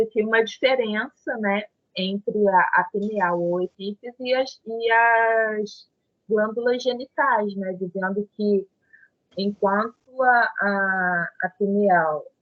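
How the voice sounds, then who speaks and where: A woman's voice at a medium pitch and very slow pace. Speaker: study group leader. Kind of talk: spiritist study group reading and discussion.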